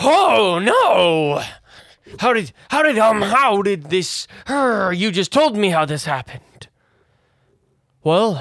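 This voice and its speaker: In a put-on character voice of middle pitch, the speaker moves at a very slow pace with long, frequent pauses. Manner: confused, shouting.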